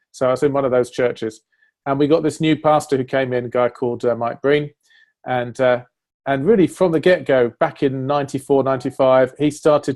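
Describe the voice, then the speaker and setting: In an English accent, a man talks at a medium pitch with fairly even intonation. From northern England, Sheffield. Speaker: church leader. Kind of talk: interview conversation.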